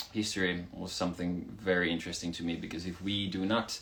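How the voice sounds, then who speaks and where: A man speaks at a moderate pace with a Swedish accent. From Finland. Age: 20s. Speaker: rock band singer. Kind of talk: live stream Q&A. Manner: casual, animated.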